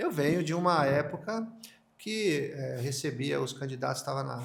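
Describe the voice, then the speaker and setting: Somewhat breathy speech comes at a fairly slow pace with audible room echo. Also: man. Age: 50s. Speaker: podcast host. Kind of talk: interview. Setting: home of the interviewed candidate. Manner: halting.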